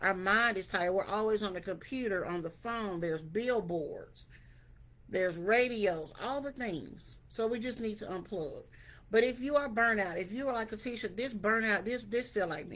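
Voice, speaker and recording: A woman speaks in a normal speaking voice, fairly high in pitch. Her pitch varies in an ordinary way, and her pace is moderate. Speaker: wellness vlogger. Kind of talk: motivational talk to camera. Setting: video to camera.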